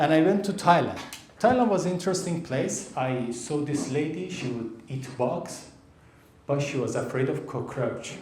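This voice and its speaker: Over noticeable background noise, a man with an Iranian accent speaks at a moderate pace, his fairly high voice carrying lively intonation. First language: Persian. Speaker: stand-up comedian. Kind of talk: live stand-up comedy set.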